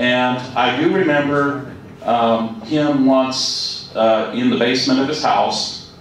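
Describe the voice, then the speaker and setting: Strong room echo and light background noise surround the speaker. A man talks with a fairly high pitch. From California. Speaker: retired educator; presenter. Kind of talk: casual chat; lecture. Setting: museum presentation with audience. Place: hall.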